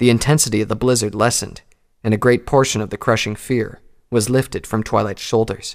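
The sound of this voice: The reading voice is unforced. Its intonation holds fairly even.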